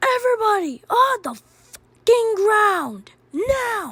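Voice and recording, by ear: A woman talks slowly in a put-on character voice with an extremely high pitch. Her tone is fairly bright, and her pitch swings widely.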